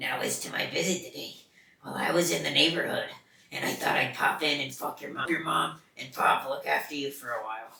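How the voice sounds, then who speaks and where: A man puts on a raspy character voice with a fairly high pitch. He talks at a fairly quick pace with slight echo. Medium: read story. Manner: exaggerated, showy enunciation.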